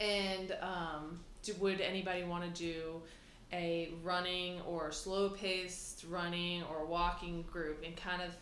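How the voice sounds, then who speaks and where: Someone speaks fairly slowly in a flat monotone, with noticeable background noise. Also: woman, fairly low pitch for a woman. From small town. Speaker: fitness business owner. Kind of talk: casual chat.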